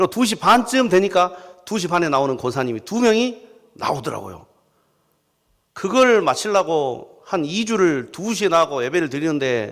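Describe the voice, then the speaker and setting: A man with a strong Jeolla accent, high-pitched, at a moderate pace, with very wide pitch swings. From South Jeolla, Korea. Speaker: pastor. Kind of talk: sermon. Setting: church. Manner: animated storytelling.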